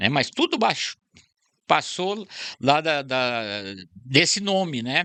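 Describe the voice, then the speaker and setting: A man with a fairly high pitch and a bright, sharp tone, at a very slow pace with very wide pitch swings and long, frequent pauses, in a dry, close sound with no echo. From Brazil, southern Minas Gerais. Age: 70s. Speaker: retired central bank employee and historian. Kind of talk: podcast interview.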